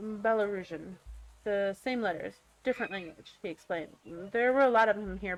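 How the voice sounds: Pitch varies in an ordinary way through this natural reading voice.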